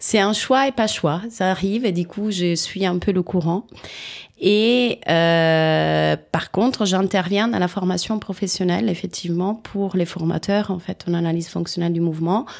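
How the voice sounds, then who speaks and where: At a medium pitch with ordinary pitch variation, a woman speaks at a fairly slow pace. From Italy. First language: Italian (speaking French). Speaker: rolfing practitioner, former dancer. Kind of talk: interview. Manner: halting.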